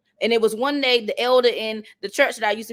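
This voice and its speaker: Speaking at a fairly quick pace, a woman with a high pitch and an animated tone talks in a Southern accent. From North Carolina. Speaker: motivational speaker. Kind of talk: motivational talk.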